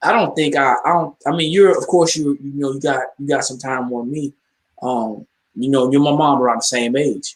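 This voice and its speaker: Ordinary pitch variation and a moderate pace in an unremarkable speaking voice. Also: man. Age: 40s. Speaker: call host. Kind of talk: casual chat. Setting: group call.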